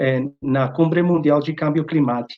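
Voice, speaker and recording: This man talks with a Spanish accent. His intonation holds fairly even. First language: Spanish (speaking Portuguese). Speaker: academic researcher, invited speaker. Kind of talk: lecture. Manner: halting, many fillers.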